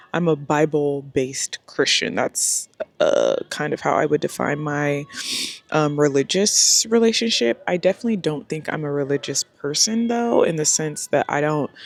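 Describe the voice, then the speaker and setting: A woman speaks with a very deep, low pitch. The sound is dry and close with no echo, over noticeable background noise. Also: lively intonation, moderate pace. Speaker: lifestyle vlogger. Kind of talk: casual vlog talk to camera. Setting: outdoors by a pool. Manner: loud, speaking up over music.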